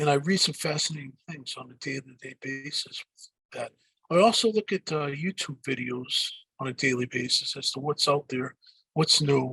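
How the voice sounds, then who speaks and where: With a strong Boston accent, a man speaks at a fairly high pitch and ordinary pitch variation. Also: moderate pace, big swings in loudness. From Boston area, US. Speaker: digital marketing speaker and author. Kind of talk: podcast interview. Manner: hesitant, many fillers and repeats.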